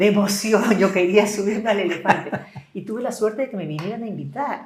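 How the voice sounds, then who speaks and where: Audible room echo hangs around the speaker. She is a woman whose pitch varies in an ordinary way. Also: medium pitch for a woman, fairly quick pace. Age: 60s. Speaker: business leader. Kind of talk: interview.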